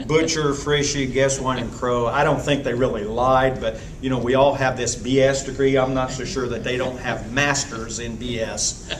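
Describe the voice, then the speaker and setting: A man speaks in a monotone, flat delivery with hardly any pauses. Noticeable background noise runs under his voice. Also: medium pitch for a man, moderate pace. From southern Indiana (Columbus). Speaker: retired agriculture teacher. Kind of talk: casual reminiscing. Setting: anniversary celebration event.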